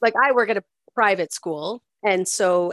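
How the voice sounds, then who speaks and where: This woman talks with a Maritime Canadian accent. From Nova Scotia, Canada. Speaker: podcast co-host, school worker. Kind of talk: casual chat.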